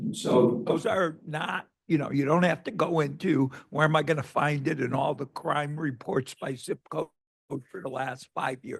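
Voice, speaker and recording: Using a plain, everyday voice, a man speaks at a moderate pace, pitched fairly high, with ordinary pitch variation. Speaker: academic event audience member asking questions. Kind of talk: Q&A discussion after presentation.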